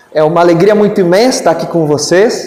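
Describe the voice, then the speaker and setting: Amid noticeable background noise and audible room echo, a man speaks fairly quickly in a high voice. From Brazil, interior of Amazonas (São Gabriel da Cachoeira). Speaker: spiritist lecturer. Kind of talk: lecture. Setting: spiritist centre with audience. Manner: formal.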